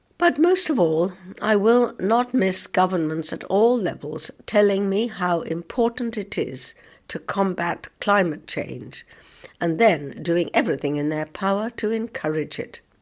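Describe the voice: Putting on a croaky character voice, a woman speaks at a medium pitch and a moderate pace.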